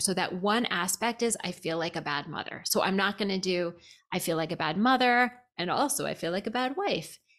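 In a plain, everyday voice, a woman speaks at a fairly quick pace, medium in pitch with ordinary pitch variation. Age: 50s. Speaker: therapist. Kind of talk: casual chat.

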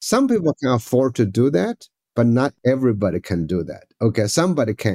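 A man with a medium-pitched voice makes very wide pitch swings. The recording is very clean, with a silent background. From rural China. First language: Chinese. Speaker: education professor and author. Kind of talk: interview.

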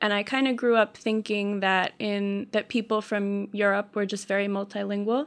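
A woman in a medium pitch with an American accent, flat and monotone at a moderate pace, on a very clean recording with a silent background. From Southern California. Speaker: language teacher and oral historian. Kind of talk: interview.

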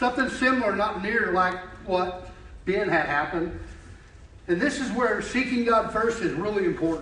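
A man with a high pitch projects a raised voice with lively intonation, very even loudness, and long, frequent pauses. Room echo is audible and background noise is noticeable. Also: moderate pace. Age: 50s. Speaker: lay preacher. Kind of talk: sermon. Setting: church.

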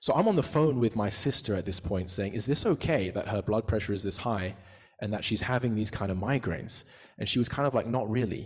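Over a quiet background, a man talks at a fairly quick pace in a somewhat breathy voice. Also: fairly low pitch for a man, ordinary pitch variation. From UK. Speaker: preacher. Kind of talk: sermon.

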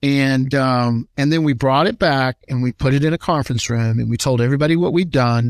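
A man with a normal speaking voice talks at a fairly quick pace and medium pitch, with hardly any pauses and very even loudness. The recording is very clean with a silent background and a dry, close sound with no echo. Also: ordinary pitch variation. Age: 60s. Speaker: HR consulting company founder. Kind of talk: interview.

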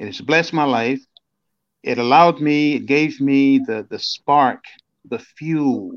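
Using a normal speaking voice, a man with an American accent speaks fairly slowly at a fairly high pitch. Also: ordinary pitch variation, quiet background. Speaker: motivational speaker. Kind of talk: interview. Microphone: bad connection from storm.

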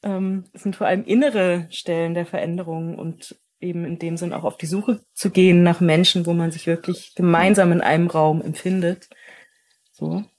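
With an unremarkable speaking voice, a woman talks at a moderate pace in a fairly low pitch and fairly even intonation. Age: 30s. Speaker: educator. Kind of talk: interview conversation.

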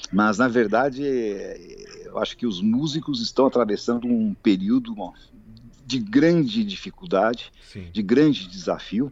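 With a normal speaking voice, a man talks at a fairly slow pace using lively intonation. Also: medium pitch for a man. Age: 60s. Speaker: pianist and composer. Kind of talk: interview.

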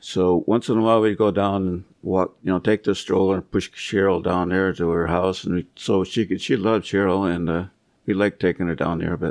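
Over a quiet background, a man with a very deep, low voice talks fairly quickly in a flat monotone, the sound dry and close with no echo. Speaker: grandfather. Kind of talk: casual interview.

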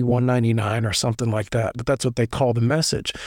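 A man with a Tennessee accent speaks on a very clean recording with a silent background. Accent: Southern US (Tennessee). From US South (Middle Tennessee). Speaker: former prisoner telling his story. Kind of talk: personal storytelling interview.

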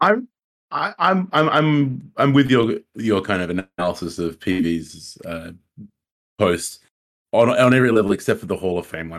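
Speaking with an Australian accent, a man uses lively intonation at a moderate pace. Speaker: co-host, academic researcher. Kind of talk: casual chat. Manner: repeats words, halting.

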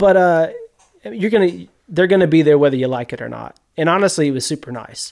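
A man with a Mississippi accent talks at a fairly quick pace in a fairly high pitch. His loudness swings widely. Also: ordinary pitch variation. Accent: US Southern (Mississippi). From Mississippi, Yazoo County. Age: 40s. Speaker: media producer, hunter. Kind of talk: casual interview chat. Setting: garage.

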